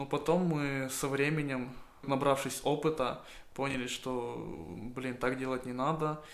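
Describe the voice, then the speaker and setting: A man talks at a fairly slow pace in a monotone, flat intonation. There is audible room echo. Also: medium pitch for a man. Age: 20s. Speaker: small livestock farmer. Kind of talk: monologue. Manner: casual.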